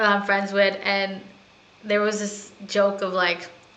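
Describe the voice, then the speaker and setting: Noticeable background noise and audible room echo surround this recording. A woman with an American accent speaks at a very slow pace. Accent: people say she has an American. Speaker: gaming streamer. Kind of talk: casual gameplay commentary.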